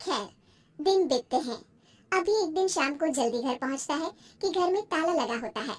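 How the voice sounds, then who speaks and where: A woman puts on a squeaky character voice pitched extremely high. Her pace is moderate. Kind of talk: moral story narration. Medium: cartoon.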